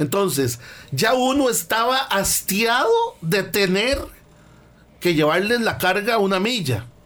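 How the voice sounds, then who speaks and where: A man's voice with lively intonation and audible room echo. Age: 50s. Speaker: values and personal development speaker. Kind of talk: radio talk, motivational lecture.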